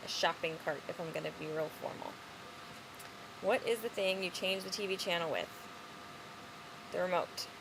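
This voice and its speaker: Pausing often and at length, a woman speaks at a moderate pace. Her pitch is medium, and her intonation stays fairly even. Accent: Chicago. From Chicago. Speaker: vlogger. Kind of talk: casual chat. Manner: casual.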